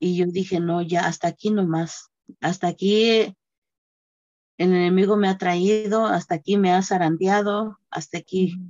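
At a fairly slow pace, a woman talks in a monotone, flat manner at medium pitch. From Mexico, Guerrero. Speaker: church member sharing testimony. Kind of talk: testimony.

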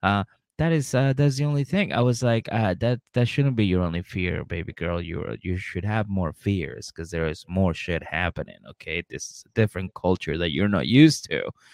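A man with a plain, everyday voice, fairly low in pitch, at a moderate pace with lively intonation and hardly any pauses, dry and close with no echo. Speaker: podcast host. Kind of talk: casual comedic recap chat.

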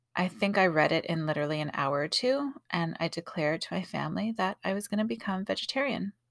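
Heard in a very clean recording with a silent background, a woman of medium pitch speaks at a moderate pace with lively intonation and vocal fry. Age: 40s. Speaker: podcast host and artist. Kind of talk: casual monologue. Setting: home closet with pillows.

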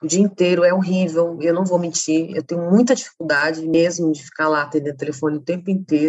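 Using an ordinary speaking voice, a woman talks with hardly any pauses, a fairly low pitch and fairly even intonation. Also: fairly quick pace. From Campo Grande, Mato Grosso do Sul, Brazil. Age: 30s. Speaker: feminist activist and social researcher. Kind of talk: interview conversation.

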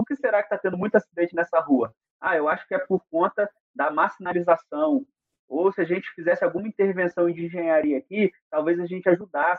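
A man's high-pitched voice at a fairly quick pace. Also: ordinary pitch variation. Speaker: federal highway police officer and engineer. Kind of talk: interview explaining road safety data.

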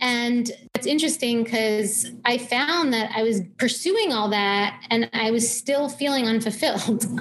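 Amid noticeable background noise, a woman with an American accent speaks at a fairly slow pace with hardly any pauses, in a fairly high voice with ordinary pitch variation and very even loudness. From New York, Long Island. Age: 30s. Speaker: health coach and dietitian. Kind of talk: interview conversation.

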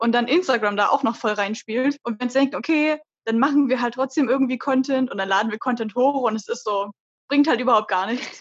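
A high-pitched woman's voice at a fairly quick pace, with ordinary pitch variation. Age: 20s. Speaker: cosplayer podcast co-host. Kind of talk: casual chat.

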